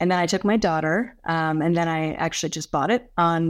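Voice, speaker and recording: With an American accent, a woman talks at a very fast pace. Her fairly low pitch shows ordinary variation. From California. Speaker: corporate analytics executive. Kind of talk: interview. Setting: remote call from home.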